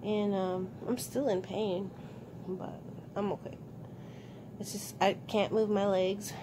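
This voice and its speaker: Against noticeable background noise, a woman speaks very slowly with fairly even intonation. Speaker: vlogger. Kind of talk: casual vlog chat. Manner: weak, tired voice after surgery. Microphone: phone near.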